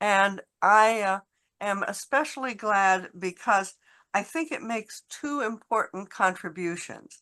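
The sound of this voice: At a slow pace, a woman speaks at medium pitch with a bright, sharp tone and ordinary pitch variation.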